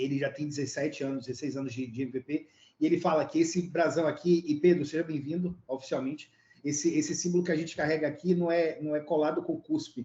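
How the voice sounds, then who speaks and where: Fairly high in pitch, a man speaks at a fairly quick pace. His intonation is fairly even. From Brazil. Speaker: tech lead, data expert. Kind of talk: panel introduction.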